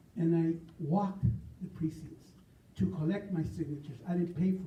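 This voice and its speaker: A man speaks with an American accent, his pitch high and his tone dark and mellow. His intonation is fairly even, and the room adds audible echo. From US West. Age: 70s. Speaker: political candidate. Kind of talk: campaign speech.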